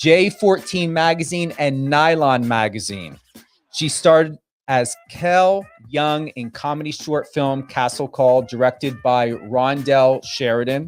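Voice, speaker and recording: This speaker has a New Jersey accent and an animated, enthusiastic tone. The pace is fairly slow. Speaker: radio talk show host. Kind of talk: live radio interview. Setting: radio studio, live stream.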